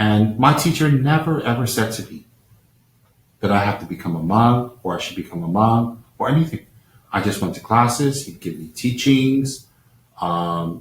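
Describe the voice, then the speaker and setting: Somewhat breathy and with an American accent, a man speaks at a medium pitch and moderate pace, with lively intonation and big swings in loudness. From Taiwan, then New Jersey, US. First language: Chinese. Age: 50s. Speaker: Buddhist lama. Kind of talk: live-stream talk. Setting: live-stream over unstable connection. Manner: halting with fillers.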